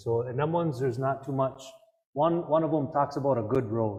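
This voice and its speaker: A man's voice, somewhat breathy, moves at a moderate pace and varies in pitch in an ordinary way. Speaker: Native cultural speaker. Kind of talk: public talk Q&A. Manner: soft-spoken.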